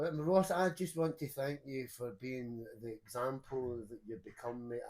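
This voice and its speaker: Dark, mellow male tone, pitch varying in an ordinary way. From northern England, Newcastle. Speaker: podcast co-host. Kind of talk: casual chat.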